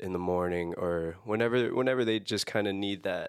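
Against a silent background, the recording is very clean. A man speaks with an American accent at a moderate pace. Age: 20s. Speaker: music student. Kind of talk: casual chat.

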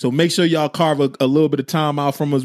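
A man with an American accent has a normal speaking voice, a fairly high pitch and ordinary pitch variation. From New Jersey. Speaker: podcast co-host. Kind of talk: casual chat. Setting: livestream with chat comments.

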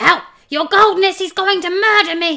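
A put-on character voice, shrill and squeaky, at an extremely high pitch. The pace is moderate. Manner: shrieking in terror.

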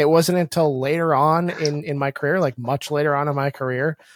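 With a fairly high pitch and fairly even intonation, a man with a normal speaking voice talks at a fairly quick pace in a dry, close sound with no echo. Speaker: podcast host. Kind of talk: casual chat, interview.

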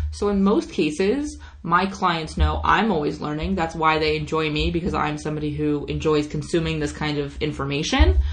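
A woman talking at a moderate pace with hardly any pauses, over noticeable background noise. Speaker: podcast host. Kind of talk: podcast interview, casual chat.

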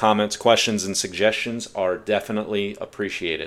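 A man talks in a normal speaking voice at a fairly low pitch. He keeps a moderate pace and fairly even intonation. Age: 40s. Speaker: podcast host. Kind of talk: solo podcast monologue.

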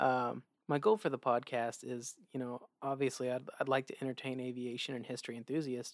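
A man with an American accent and a plain, everyday voice talks at a fairly quick pace in a medium pitch, the sound dry and close with no echo. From Oklahoma. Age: 20s. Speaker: podcast host, pilot. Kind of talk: casual solo podcast monologue.

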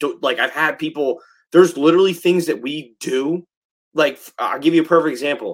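A man races along at a very fast pace with an American accent. His pitch sits fairly high. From South Jersey, US. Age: 30s. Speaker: fire captain and instructor. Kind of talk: casual chat.

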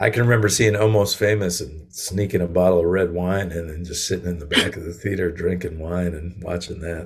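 With an American accent, a man speaks at a very deep, low pitch and a fairly quick pace, with hardly any pauses and fairly even intonation. His voice is somewhat breathy, and its loudness swings widely. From Connecticut and western Massachusetts, US. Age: 40s. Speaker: singer-songwriter. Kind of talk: casual interview.

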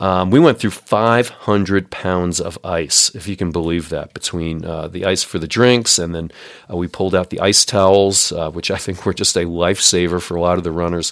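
Here a man speaks with a very deep, low pitch. His pace is moderate and his intonation fairly even. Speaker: podcast host and race organizer. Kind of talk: solo podcast recap monologue. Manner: halting, many fillers.

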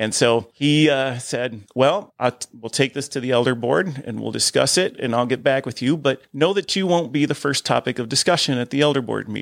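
A man with an unremarkable speaking voice, medium pitch and ordinary pitch variation, in an American accent at a moderate pace, on a very clean recording with a silent background and a dry, close sound with no echo. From Ohio, US Midwest. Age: 50s. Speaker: church deacon and musician. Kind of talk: testimony. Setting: studio.

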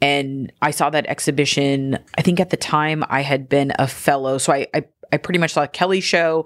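A woman with a Californian accent and a very deep, low pitch, fairly even intonation, very even loudness, a moderate pace, and a dry, close sound with no echo. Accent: Californian American English. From Southern California (Gardena, Los Angeles). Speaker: curator and writer. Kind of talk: casual interview conversation. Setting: in person.

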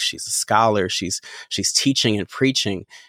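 In an ordinary speaking voice, a man with an American accent talks at a moderate pace and fairly low pitch, on a very clean recording with a silent background. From US Midwest, Chicago. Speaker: pastor and worship leader. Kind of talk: casual chat.

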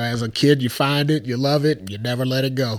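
An American-accented man has an unremarkable speaking voice at medium pitch. His intonation is fairly even and his pace fairly quick. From US Midwest, Chicago area. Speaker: podcast co-host. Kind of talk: casual chat.

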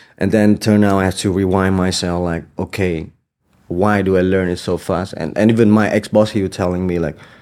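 The voice has a dark, mellow tone and moves at a moderate pace. Its intonation is monotone and flat. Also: man. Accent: Vietnamese. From Hanoi, Vietnam. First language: Vietnamese. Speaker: dancer and choreographer. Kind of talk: casual interview. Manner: halting.

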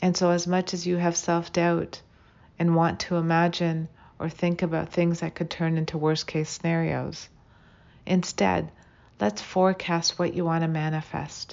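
A woman talks at a moderate pace in a monotone, flat intonation. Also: fairly low pitch for a woman. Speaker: meditation guide. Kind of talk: guided meditation. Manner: calm, soothing, measured.

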